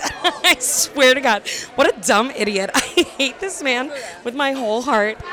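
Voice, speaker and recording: With crowd noise behind her, a woman talks at a fairly slow pace in an animated tone with a high pitch. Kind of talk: casual banter, mic'd-up event chat. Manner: animated, laughing.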